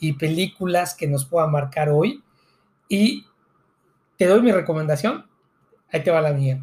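A man with a fairly high pitch and ordinary pitch variation talks at a fairly slow pace, leaving long, frequent pauses. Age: 40s. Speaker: teacher and podcast co-host. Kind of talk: casual chat.

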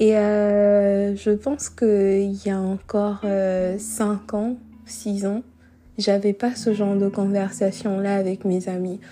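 Speaking at a very slow pace, a woman uses a medium pitch, a dark, mellow tone and a monotone, flat intonation. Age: 20s. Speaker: podcaster. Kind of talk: solo monologue. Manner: unscripted, hesitant.

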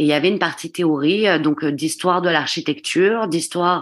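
A very slow delivery in a southwestern French accent, with ordinary pitch variation and a quiet background. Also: woman. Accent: southwestern French, sing-song. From southwestern France, Gironde. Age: 30s. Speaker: stonemason. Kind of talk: interview. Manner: hesitant.

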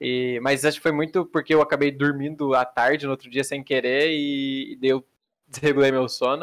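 In a very clean recording with a silent background, a man speaks at a moderate pace in a monotone, flat intonation. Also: fairly high pitch for a man. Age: 20s. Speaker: pro card game player and streamer. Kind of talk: casual interview.

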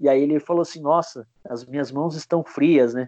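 A man talking at a moderate pace. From Curitiba, southern Brazil. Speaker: music fan, podcast guest. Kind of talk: casual chat. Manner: halting, many repeated words.

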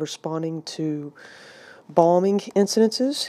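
In a Southern US accent, a woman speaks slowly-ish, at a fairly slow pace, with a fairly low pitch, ordinary pitch variation and a dark, mellow tone. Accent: Southern American. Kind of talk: lecture. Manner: hesitant with frequent fillers.

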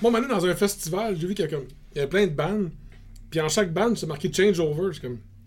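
A high-pitched man with a Quebec accent, a fairly quick pace, ordinary pitch variation, long, frequent pauses and noticeable background noise. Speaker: brewery co-owner and metal musician. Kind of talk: casual chat.

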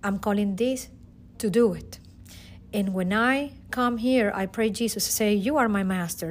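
A woman at a medium pitch, with a moderate pace and ordinary pitch variation. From Venezuela, Caracas. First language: Spanish. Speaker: teacher. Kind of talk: testimony.

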